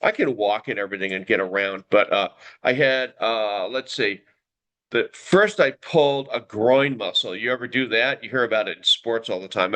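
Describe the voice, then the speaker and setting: Over a quiet background, a man with a bright, sharp tone speaks at medium pitch with ordinary pitch variation. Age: 70s. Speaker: YouTube live host, broadcaster. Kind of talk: casual live-stream chat. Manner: hesitant, many filler words.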